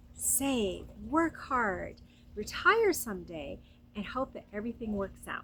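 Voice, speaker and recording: A woman is speaking. Her tone is warm and her pace fairly slow. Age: 60s. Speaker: lifestyle vlogger. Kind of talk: casual monologue. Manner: warm, conversational.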